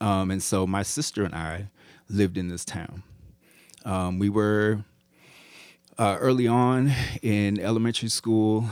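A man speaks at a fairly slow pace with fairly low pitch and fairly even intonation, leaving long, frequent pauses. The recording is very clean, with a silent background. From Iowa, US Midwest. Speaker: professor and sound designer. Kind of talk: casual interview.

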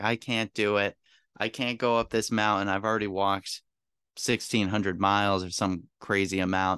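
A man with a New England accent, fairly low pitch and a bright, sharp tone, fairly even intonation at a moderate pace, dry, close sound with no echo over a quiet background. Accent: New England American. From central Massachusetts. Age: 30s. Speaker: sailor and marine industry podcaster. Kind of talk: casual interview.

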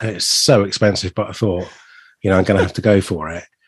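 With an unremarkable speaking voice, a man talks at a fairly low pitch. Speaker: podcast co-host. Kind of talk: casual chat.

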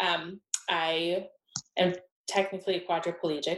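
A woman with an American accent speaks in a plain, everyday voice at a medium pitch and a fairly slow pace. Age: 20s. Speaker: interior designer. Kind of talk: interview.

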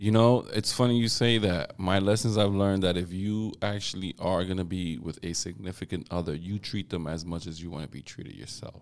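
With a very deep, low pitch, a man speaks at a fairly quick pace with hardly any pauses, ordinary pitch variation and big swings in loudness. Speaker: podcast co-host. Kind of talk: casual chat.

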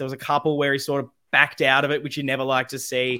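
Very fast speech in an Australian accent. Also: man. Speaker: podcast host. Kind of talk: live podcast chat about football. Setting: live YouTube stream.

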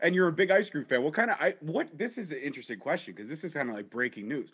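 A man's fairly high voice carries vocal fry. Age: 30s. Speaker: podcast host. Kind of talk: interview. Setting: studio. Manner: animated.

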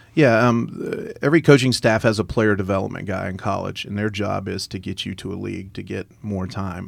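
In a plain, everyday voice, a man talks at a fairly quick pace and fairly low pitch, with hardly any pauses and big swings in loudness. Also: ordinary pitch variation. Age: 50s. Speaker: college baseball coach and business owner. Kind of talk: casual chat.

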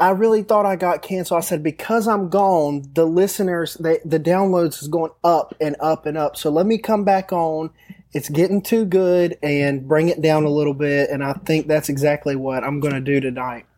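Animated in tone, a man speaks at a moderate pace with hardly any pauses. His pitch is fairly high, with ordinary variation. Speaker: returning guest. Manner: animated, joking.

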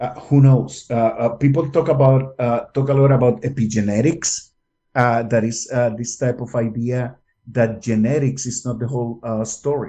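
A man talks at a moderate pace and medium pitch with fairly even intonation. His tone is dark, mellow and somewhat breathy. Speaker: scientist interviewee. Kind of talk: interview explanation. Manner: hesitant, filler-heavy.

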